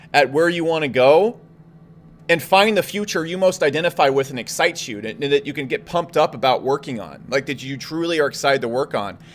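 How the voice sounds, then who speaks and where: Speaking at a very fast pace, a man sounds animated, his pitch fairly high. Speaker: entrepreneur livestreamer. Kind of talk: casual livestream Q&A. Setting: livestream.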